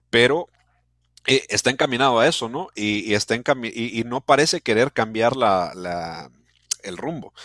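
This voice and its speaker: On a very clean recording with a silent background and a dry, close sound with no echo, a man uses a normal speaking voice at a medium pitch, moderate pace and with lively intonation. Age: 20s. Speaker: football podcast host. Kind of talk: casual interview.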